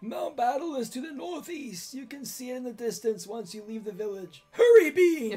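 Putting on a character voice, a man talks at an extremely high pitch with hardly any pauses. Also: moderate pace.

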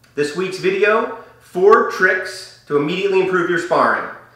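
A man speaks in a raised, projected voice, with audible room echo over a quiet background. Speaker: martial arts coach. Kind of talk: tutorial. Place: studio.

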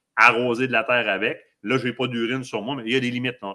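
Against a quiet background, a man with a Quebec accent speaks in an animated tone. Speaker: hunting show host. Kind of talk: live stream interview. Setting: studio. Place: home room. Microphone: webcam.

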